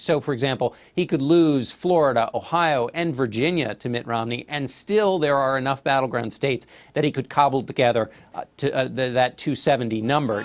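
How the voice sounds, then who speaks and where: Speaking at a fairly quick pace, a man has a normal speaking voice of medium pitch with ordinary pitch variation. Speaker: political correspondent. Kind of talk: news analysis answer to anchor. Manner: conversational with filler words.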